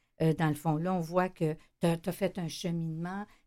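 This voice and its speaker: Delivered at a moderate pace, this voice has a dark, mellow tone and a Quebec accent. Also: woman. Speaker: radio host and shelter director. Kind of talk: radio interview. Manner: casual, hesitant with fillers.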